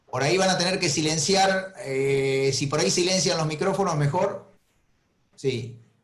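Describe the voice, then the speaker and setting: A man's fairly high voice with an Argentine accent and very even loudness. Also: ordinary pitch variation, fairly slow pace. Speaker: veterinary professor. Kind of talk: webinar lecture. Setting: video call.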